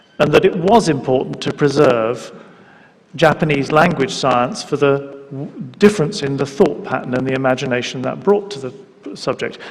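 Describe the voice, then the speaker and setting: There is noticeable background noise as a man talks at a moderate pace in a fairly high register. His volume swings a lot from moment to moment. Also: lively intonation. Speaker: panel moderator. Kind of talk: panel discussion.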